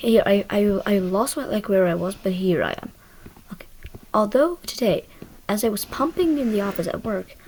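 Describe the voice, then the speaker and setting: A woman with medium pitch and lively intonation speaks at a fairly quick pace with long, frequent pauses over noticeable background noise. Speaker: online storyteller reading Reddit posts. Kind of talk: reading aloud with casual commentary. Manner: fast.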